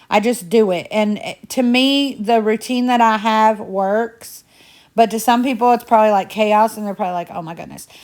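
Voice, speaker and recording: The recording is very clean, with a silent background. A woman speaks at a moderate pace, her fairly high pitch held to a fairly even intonation. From Indiana. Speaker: home cleaning vlogger. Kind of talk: casual chatty vlog narration. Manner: chatty.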